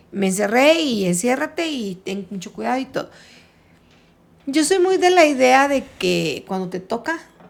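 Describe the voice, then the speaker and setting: Her high voice swings very widely in pitch as the woman speaks at a fairly slow pace. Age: 60s. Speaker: retired teacher. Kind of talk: casual chat.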